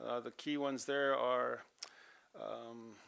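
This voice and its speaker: Mumbling in an Albertan accent, a man speaks at medium pitch with monotone, flat intonation on a very clean recording with a silent background. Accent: Canadian English, Alberta. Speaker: auditor presenting financial statements to council. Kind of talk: financial report presentation at council meeting. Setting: council chamber meeting. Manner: casual, many fillers.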